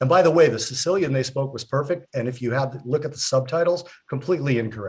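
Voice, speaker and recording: A somewhat breathy man at a very fast pace and fairly high pitch. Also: ordinary pitch variation. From US, child of Italian immigrants. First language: Italian. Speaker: talk show co-host. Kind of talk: casual chat.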